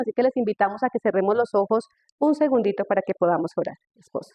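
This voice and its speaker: Speaking at a very fast pace, a woman keeps a fairly high pitch with ordinary pitch variation. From Colombia, Tolima. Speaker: speaker on marriage. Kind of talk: testimony.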